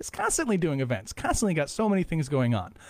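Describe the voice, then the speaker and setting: A man with a fairly high pitch speaks in an animated tone. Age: 30s. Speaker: podcast host. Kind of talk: casual interview chat; scripted show intro.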